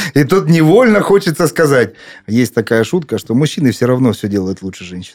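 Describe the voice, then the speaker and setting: At a fairly quick pace, a man speaks in a medium pitch that swings very widely. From Krasnodar, southern Russia. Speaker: chairman of a parents' public organization. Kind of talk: podcast panel discussion.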